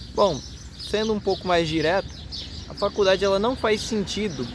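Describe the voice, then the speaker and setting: The words come at a middling speed. Noticeable background noise is present throughout. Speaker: YouTuber. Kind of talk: casual vlog monologue. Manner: halting, stammering.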